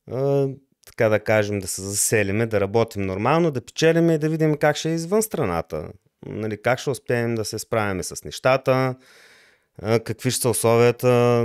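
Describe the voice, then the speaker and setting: With lively intonation and a medium pitch, a man talks at a moderate pace in a very clean, silent recording with a dry, close sound and no echo. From Bulgaria, Lovech. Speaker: electronics engineer and programmer. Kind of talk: interview. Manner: halting.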